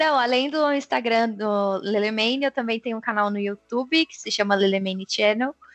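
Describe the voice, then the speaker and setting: A woman talks at a moderate pace with hardly any pauses, using an ordinary speaking voice at a fairly high pitch with ordinary pitch variation. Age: 20s. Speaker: software quality assurance professional. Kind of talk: casual interview chat.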